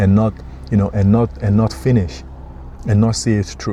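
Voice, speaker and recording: Over noticeable background noise, a man with a non-native accent talks fairly quickly at a fairly low pitch. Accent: noticeable foreign. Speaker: motivational vlogger. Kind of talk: motivational talk.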